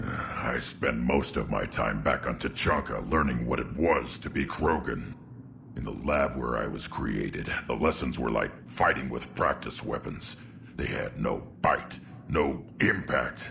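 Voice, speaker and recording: A man puts on a character voice, very deep and low, speaking at a fairly slow pace over clear background noise. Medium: video game. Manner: gruff, eager for violence.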